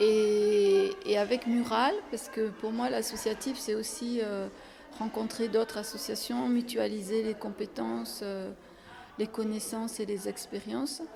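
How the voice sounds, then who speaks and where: Her pace is very slow and her intonation fairly even. This woman speaks at a fairly high pitch. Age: 70s. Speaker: head of a women's association. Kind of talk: interview. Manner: hesitant, many fillers.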